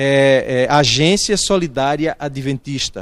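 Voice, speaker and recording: A man with lively intonation and a northeastern Brazilian accent. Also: very clean recording, silent background. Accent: noticeable northeastern Brazilian. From Alagoas, northeastern Brazil. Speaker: pastor. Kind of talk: interview. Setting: church.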